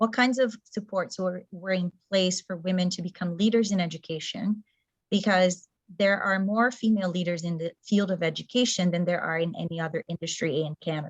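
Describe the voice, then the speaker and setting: A woman's somewhat breathy voice at a medium pitch and fairly quick pace, with ordinary pitch variation. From Brazil. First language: Portuguese. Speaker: community organizer, former teacher. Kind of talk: presentation talk.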